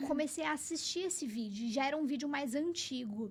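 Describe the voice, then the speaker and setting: A woman with a high voice speaks, and audible room echo can be heard around her. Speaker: podcast host. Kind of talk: casual chat.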